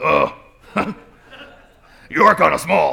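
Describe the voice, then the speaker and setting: Putting on a character voice, a man sounds gruff and booming. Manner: bold, teasing.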